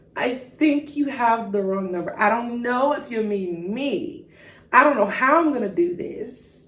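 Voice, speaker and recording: A woman with a high pitch speaks fairly slowly in an animated tone with lively intonation. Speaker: podcast host and faith speaker. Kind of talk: faith podcast monologue.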